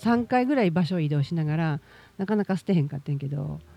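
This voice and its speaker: A woman with a Kansai accent, her very deep, low pitch paired with a dark, mellow tone and lively intonation, in a dry, close sound with no echo. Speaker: podcast host. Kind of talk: casual monologue.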